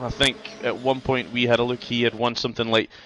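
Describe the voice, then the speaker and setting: Talking at a fairly quick pace, a man speaks with a Scottish accent. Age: 40s. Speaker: sim racing league commentator. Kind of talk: live commentary.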